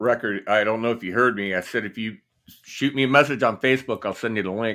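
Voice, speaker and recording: A man with a Midwestern US accent talking at a very fast pace with fairly even intonation, on a very clean recording with a silent background. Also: medium pitch for a man. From Indiana. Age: 60s. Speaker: guitarist and YouTuber. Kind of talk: casual chat. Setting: livestream. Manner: halting.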